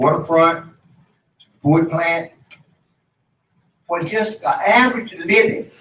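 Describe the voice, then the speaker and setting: A man with an American accent and high pitch, at a fairly slow pace with long, frequent pauses, lively intonation and big swings in loudness. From eastern North Carolina. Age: 70s. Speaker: community elder, panelist. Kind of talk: panel discussion.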